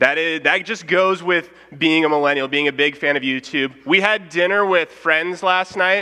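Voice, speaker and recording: This man has a high-pitched voice with ordinary pitch variation. Noticeable background noise is present. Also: moderate pace. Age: young. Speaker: preacher. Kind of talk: sermon. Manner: casual.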